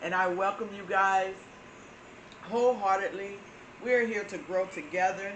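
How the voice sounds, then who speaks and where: With a Southern US accent, a woman talks at a medium pitch and moderate pace, her intonation fairly even and her speech broken by long, frequent pauses, in audible room echo. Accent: Florida southern. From Florida, US South. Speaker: spiritual channel host. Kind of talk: spiritual talk to viewers. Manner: hesitant with frequent fillers.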